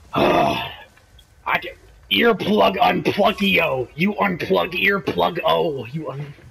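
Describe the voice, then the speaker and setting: At a very slow pace, a man talks over noticeable background noise. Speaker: gaming video creator. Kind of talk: casual gameplay commentary. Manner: animated, excitable; puts on a mock Brooklyn accent for a character.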